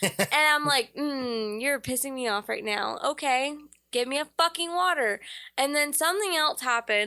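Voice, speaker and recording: In a very clean recording with a silent background, a woman uses a raised, projected voice at a high pitch, her tone bright, sharp and animated at a moderate pace. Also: lively intonation. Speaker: podcast co-host. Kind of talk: casual chat. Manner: loud.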